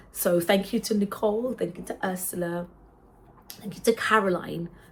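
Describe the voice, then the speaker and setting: A woman talks at a moderate pace, her intonation fairly even and her voice somewhat breathy. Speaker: worship singer and vlogger. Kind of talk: casual chat. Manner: halting.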